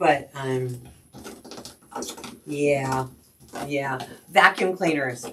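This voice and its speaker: A woman with a very deep, low pitch and ordinary pitch variation talks at a very slow pace. Her pauses are long and frequent, and there is noticeable background noise. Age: 60s. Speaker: crafting livestream host. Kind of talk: casual live-stream chat. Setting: live stream at home.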